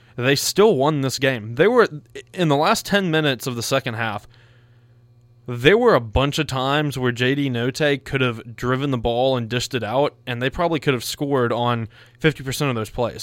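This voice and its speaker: A man with an ordinary speaking voice and a medium pitch talks at a moderate pace with ordinary pitch variation. The recording is very clean, with a silent background. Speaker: sports radio co-host. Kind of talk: casual sports banter. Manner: playful, teasing.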